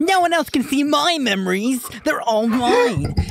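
A put-on character voice speaks at a moderate pace in a high pitch. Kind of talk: poorly dubbed dramatic. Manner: possessive, theatrical.

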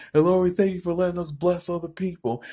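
A man's voice carries a dark, mellow tone, with a quiet background behind it. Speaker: preacher. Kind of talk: spoken prayer. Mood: warm, joyful. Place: home room. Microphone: phone near.

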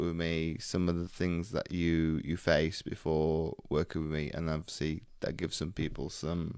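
Against a quiet background, a man with a very deep, low pitch speaks at a moderate pace in a dry sound with no echo. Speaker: business coach hosting. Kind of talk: interview host intro. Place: home room. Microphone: studio mic.

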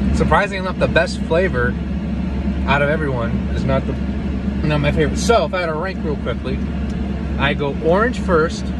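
A man speaks at a fairly quick pace. The sound is dry with no echo, but loud background noise is present. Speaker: vlogger. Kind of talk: casual vlog chat, taste review. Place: car. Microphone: phone near.

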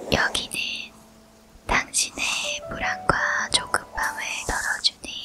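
Someone is whispering at a very slow pace. Music plays in the background. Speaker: ASMR meditation guide. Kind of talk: guided sleep meditation with affirmations. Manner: whispered; slow, soothing.

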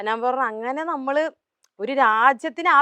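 In a bright, sharp tone, a woman speaks with lively intonation, the sound dry and close with no echo against a quiet background. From Kerala, Palakkad. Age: 20s. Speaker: social media influencer. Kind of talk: interview.

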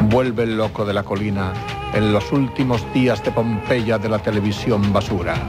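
Clear background music behind a man talking at a moderate pace. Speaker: TV presenter. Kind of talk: TV show intro monologue. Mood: calm, intimate, earnest. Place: studio. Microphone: studio mic.

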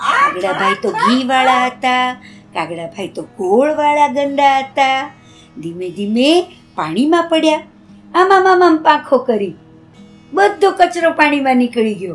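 A woman speaks in an animated tone with a high pitch and very wide pitch swings over faint background music. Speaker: storyteller; puppeteer. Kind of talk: children's story narration. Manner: expressive, animated. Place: home room.

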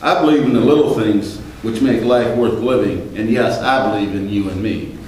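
A man talks at a moderate pace amid strong room echo.

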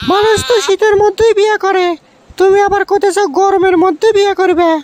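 A cartoonish character voice at an extremely high pitch moves at a moderate pace with fairly even intonation. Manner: sharp, mocking.

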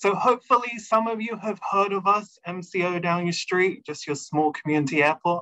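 A man's lively intonation comes through at a moderate pace, with a quiet background behind him. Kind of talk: webinar presentation. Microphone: video call.

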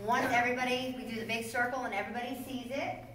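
A woman speaks amid light background noise, with audible room echo. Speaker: mine tour guide. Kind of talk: tour guide explanation. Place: tunnel cave. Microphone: camera far.

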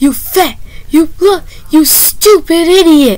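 An extremely high-pitched put-on character voice moves at a fairly slow pace, with light noise in the background. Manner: shouting, insulting.

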